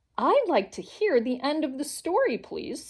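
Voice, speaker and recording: High pitch from a woman doing a put-on character voice, delivered at a moderate pace. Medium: read story.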